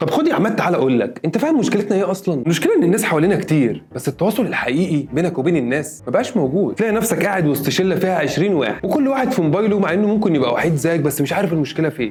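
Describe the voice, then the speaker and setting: A man with an Egyptian accent, high-pitched with very wide pitch swings, talking very fast with hardly any pauses over noticeable background noise. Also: very even loudness. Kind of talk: casual motivational talk to camera.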